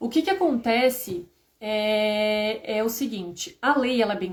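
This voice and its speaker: A woman speaks in a normal speaking voice, fairly high-pitched, with lively intonation. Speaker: HR and payroll instructor. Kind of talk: live stream lecture. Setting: live stream.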